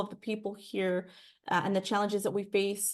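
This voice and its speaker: A woman speaks in a Spanish accent at a fairly quick pace. The background is quiet. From California Central Valley (Fresno). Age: 30s. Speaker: political candidate. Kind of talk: Q&A interview. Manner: halting, repeats words.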